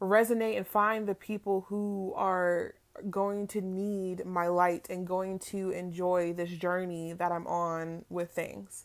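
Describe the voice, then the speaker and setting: Against a very clean, silent background, a woman with an American accent speaks fairly slowly in a monotone, flat intonation. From California, Palm Springs. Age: 20s. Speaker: podcast host. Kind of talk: casual monologue. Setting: in bed at home.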